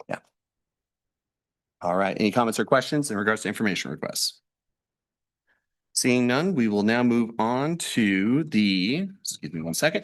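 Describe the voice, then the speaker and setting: Over a quiet background, a man with a medium-pitched voice and lively intonation speaks with long, frequent pauses. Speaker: board chair. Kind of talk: chairing a public board meeting. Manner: fast.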